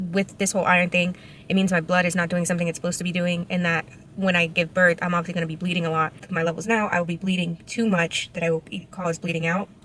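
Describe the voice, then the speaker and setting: A woman's fairly low, monotone voice in an American accent, very fast, over noticeable background noise. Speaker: vlogger. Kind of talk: vlog. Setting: doctor's office. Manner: casual, filler-heavy.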